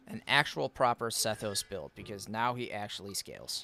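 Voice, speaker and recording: There is noticeable background noise as a man speaks at a moderate pace. He has a strong eastern US accent. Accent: Eastern US accent, self-described as strong. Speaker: gaming streamer. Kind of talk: live stream gameplay chat.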